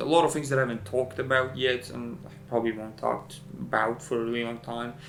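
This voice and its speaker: Speaking at a very fast pace with a non-native accent, a man keeps a medium pitch and fairly even intonation amid noticeable background noise and audible room echo. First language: not English. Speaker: video editor and vlogger. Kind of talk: casual vlog monologue. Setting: at home in front of camera light. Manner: casual, profane, halting.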